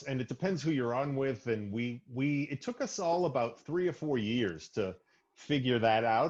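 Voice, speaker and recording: Over a quiet background, a man with an unremarkable speaking voice talks at a moderate pace in a medium pitch, his intonation lively. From US Northeast, Arlington near Boston, Massachusetts. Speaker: stand-up comedian. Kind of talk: casual podcast chat.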